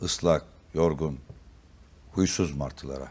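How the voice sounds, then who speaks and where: A man at a fairly slow pace. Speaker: politician. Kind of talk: poetry reading. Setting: TV studio.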